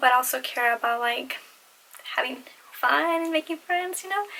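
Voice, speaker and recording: A woman talks at a moderate pace with ordinary pitch variation. Noticeable background noise can be heard. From Latin American heritage. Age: 20s. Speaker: beauty and fashion vlogger. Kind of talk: casual Q&A vlog. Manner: awkward, lots of fillers.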